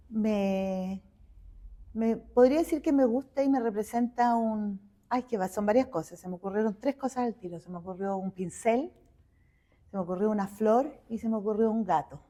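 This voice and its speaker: Her voice pitched fairly high, a woman talks at a moderate speed. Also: ordinary pitch variation. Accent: Chilean. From Chile, Santiago. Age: 60s. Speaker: visual artist. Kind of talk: interview conversation.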